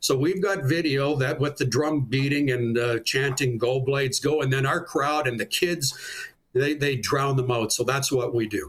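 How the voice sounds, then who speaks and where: Somewhat breathy, a man speaks at a moderate pace with a fairly high pitch and ordinary pitch variation. His loudness stays very even. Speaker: public address announcer for a junior hockey team. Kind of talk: interview answer, casual sports talk.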